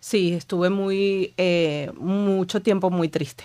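Behind a woman speaking, the background stays quiet. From Venezuela. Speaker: author and writing coach; writing coach. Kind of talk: interview conversation. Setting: studio. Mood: reflective, emotional, personal. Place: studio. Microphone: studio mic.

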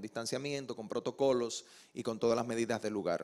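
Against a quiet background, a man speaks very fast in a monotone, flat intonation. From Dominican Republic, Santo Domingo; Dominican Republic. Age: young. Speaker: actor and TV presenter; actor, TV presenter. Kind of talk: TV interview. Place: studio. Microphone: handheld.

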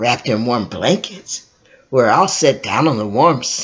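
Someone reads here in an unforced voice.

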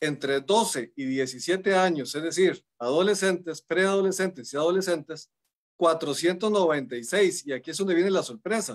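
Against a quiet background, a man with a high voice speaks at a fairly slow pace, using ordinary pitch variation. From Costa Rica. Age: 40s. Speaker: judge. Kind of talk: panel discussion. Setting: video call. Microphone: video call.

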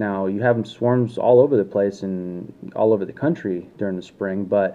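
A man's plain, everyday voice, fairly low in pitch, with ordinary pitch variation. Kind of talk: casual vlog chat. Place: home room. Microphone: phone near.

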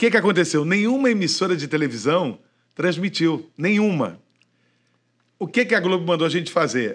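Speaking at a moderate pace with long, frequent pauses, a man with a high voice sounds animated, his intonation lively. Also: quiet background. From Rio de Janeiro, Niterói. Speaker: radio broadcaster. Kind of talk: casual chat. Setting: studio. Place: studio. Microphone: studio mic.

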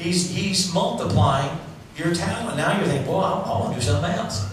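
The clip has noticeable background noise and strong room echo. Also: man. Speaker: preacher. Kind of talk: sermon to a live congregation. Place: church.

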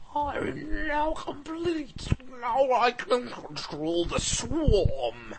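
A high-pitched, put-on character voice speaks at a very slow pace with clear background noise behind it. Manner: freaky, ominous.

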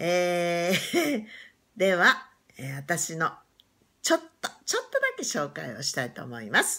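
Over a quiet background, a woman speaks at a fairly slow pace with long, frequent pauses and big swings in loudness. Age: 60s. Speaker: YouTuber; new channel host introducing herself. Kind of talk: casual chat; casual vlog chat. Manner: halting. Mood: cheerful, warm. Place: home room. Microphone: phone near.

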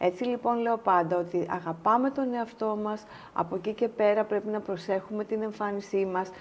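In a plain, everyday voice, a woman with a fairly high pitch talks at a moderate pace with fairly even intonation and hardly any pauses. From Greece, Halkidiki; Greece. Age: 50s. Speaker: pharmaceutical executive; interview guest. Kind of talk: casual interview. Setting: studio. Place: studio.

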